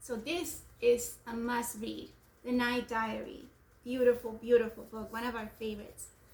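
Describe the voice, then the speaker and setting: A woman speaks with a non-native accent and monotone, flat intonation. Her loudness swings widely. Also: fairly high pitch for a woman, moderate pace. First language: not English. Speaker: homeschooling parent. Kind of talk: book discussion with children.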